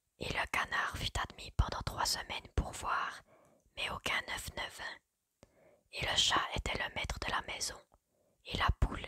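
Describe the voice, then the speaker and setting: A woman whispers at a very slow pace, with long, frequent pauses. The sound is dry and close, with no echo. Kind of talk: whispered ASMR story reading. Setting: quiet indoor recording, close microphone. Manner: whispered, soft, slow.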